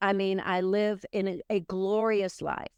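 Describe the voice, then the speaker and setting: A woman speaks at a medium pitch and a fairly slow pace. The sound is dry and close with no echo, over a quiet background. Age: 60s. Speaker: author and coach. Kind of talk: interview conversation.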